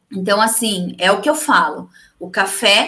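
A woman's bright, sharp voice, fairly slow, with lively intonation. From interior São Paulo state, Brazil. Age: 30s. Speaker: entrepreneur, networking group leader. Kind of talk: live-stream interview.

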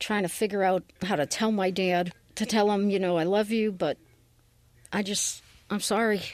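With a New England accent, a woman speaks at medium pitch and a moderate pace, her intonation fairly even. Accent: New England American. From Massachusetts. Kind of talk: testimony.

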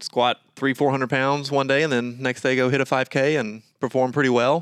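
A plain, everyday voice with an American accent at a fairly quick pace, dry and close with no echo, on a very clean recording with a silent background. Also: man. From Georgia, US. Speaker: fitness coach and podcast co-host. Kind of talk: casual chat.

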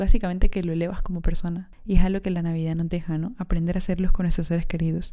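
A woman with a fairly low pitch and a dark, mellow tone, very fast with hardly any pauses and a monotone, flat intonation. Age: 20s. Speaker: podcast host. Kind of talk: solo podcast monologue.

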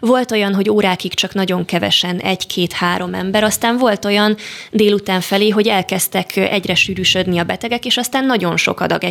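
Speaking at a fairly quick pace with hardly any pauses, a woman keeps a medium pitch, fairly even intonation and very even loudness, with vocal fry in her voice. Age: 20s. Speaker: medical student. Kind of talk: radio interview. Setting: studio.

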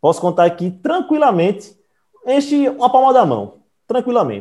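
This man's tone is dark and mellow, and his pitch swings very widely. He moves at a moderate pace against a quiet background. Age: 20s. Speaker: podcast host. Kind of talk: casual chat.

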